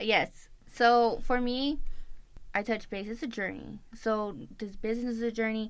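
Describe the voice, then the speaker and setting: With an ordinary speaking voice, a woman talks at a fairly slow pace and keeps her intonation fairly even. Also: fairly high pitch for a woman. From Tucson, Arizona (Tohono O'odham). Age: 20s. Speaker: nutrition club owner. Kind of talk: interview.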